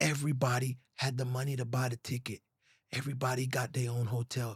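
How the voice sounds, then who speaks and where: With an American accent, a man speaks at a very fast pace in a somewhat breathy voice of medium pitch. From US Virgin Islands. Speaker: songwriter. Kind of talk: podcast interview. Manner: animated.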